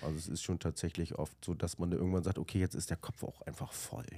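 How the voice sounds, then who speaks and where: The recording is very clean, with a silent background. A man speaks at a very deep, low pitch with vocal fry and ordinary pitch variation. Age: 40s. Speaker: managing director of a fish import company. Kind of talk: casual interview.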